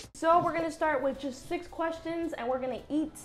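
A woman's voice over light background noise. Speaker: host of a vlog segment. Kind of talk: casual vlog chat. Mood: cheerful, laughing. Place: cafe. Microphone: lapel.

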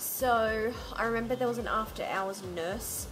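At a moderate pace, a woman speaks with ordinary pitch variation while noticeable background noise continues. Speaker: IVF vlogger. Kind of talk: casual vlog chat. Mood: relaxed, occasionally laughing. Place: home room. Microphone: phone near.

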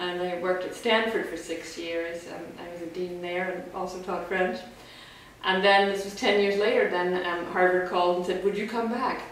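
There is light background noise and audible room echo as a woman speaks at a moderate pace in a flat monotone. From Northern Ireland. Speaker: college president. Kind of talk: interview answer. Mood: warm, relaxed, smiling. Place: home room.

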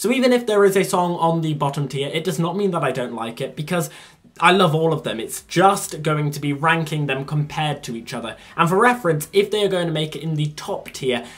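Here a man speaks at a fairly quick pace. His intonation is lively. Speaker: youtuber. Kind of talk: casual vlog chat. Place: home room. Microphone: phone near.

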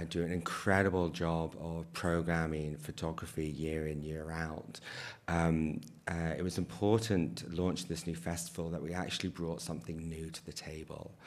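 Here a man with a British accent speaks at a moderate pace. His pitch is very deep and low, with fairly even intonation. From UK. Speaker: festival artistic director. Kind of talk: panel discussion. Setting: stage with audience. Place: stage.

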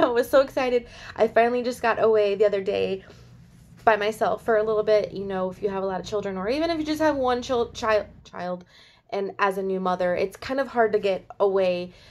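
Speaking fairly quickly, a woman uses lively intonation. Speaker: haul vlogger. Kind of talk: casual vlog chat. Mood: cheerful, excited. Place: home room. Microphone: phone near.

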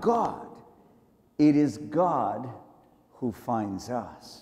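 A man talks at a very slow pace over a quiet background. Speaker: preacher. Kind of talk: sermon. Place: hall. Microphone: lapel.

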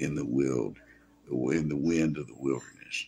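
Ordinary pitch variation and vocal fry mark this man's speech. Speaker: bible teacher. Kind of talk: scripture reading and sermon. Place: home room. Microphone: phone near.

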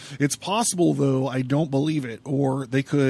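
Fairly even intonation marks a natural reading voice.

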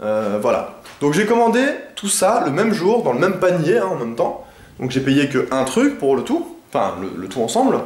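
High-pitched man at a moderate pace with very wide pitch swings, noticeable background noise behind him. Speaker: video creator. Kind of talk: casual vlog monologue. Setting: at home, talking to camera. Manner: rambling, hesitant, many fillers.

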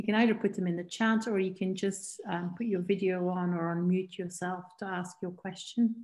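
Against a quiet background, a woman speaks at a moderate pace in a flat monotone with hardly any pauses. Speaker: seminar organizer. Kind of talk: moderating Q&A. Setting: video call. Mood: warm, appreciative. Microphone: video call.

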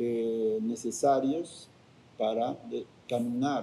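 A man's dark, mellow voice with ordinary pitch variation. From Cusco, Peru. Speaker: spiritual guardian of Machu Picchu. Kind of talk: interview answer. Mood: calm, reflective.

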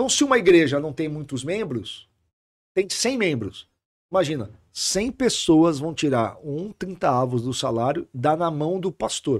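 Using very wide pitch swings, a man with a fairly high pitch proceeds at a fairly slow pace. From Brazil, Santos. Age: 40s. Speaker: pastor. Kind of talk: podcast interview. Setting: studio.

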